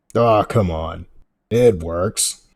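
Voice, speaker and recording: A raspy, put-on character voice. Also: man, fairly low pitch for a man. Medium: actual play. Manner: casual, clipped.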